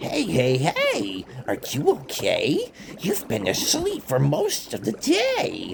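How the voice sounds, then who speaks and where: Clear background noise sits behind a put-on character voice moving at a fairly slow pace. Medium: read story.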